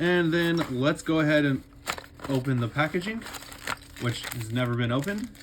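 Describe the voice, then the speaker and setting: Noticeable background noise beneath a man's voice of ordinary pitch variation. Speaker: YouTuber, toy collector. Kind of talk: unboxing video. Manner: mumbling.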